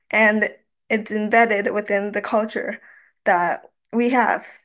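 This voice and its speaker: A woman speaks with a Canadian accent at a fairly slow pace, her pitch fairly high. Her intonation stays fairly even over a quiet background. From Canadian Prairies. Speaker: university student and youth researcher; panelist. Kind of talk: research presentation. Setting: online webinar, video call. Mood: reflective, earnest. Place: home room. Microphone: webcam.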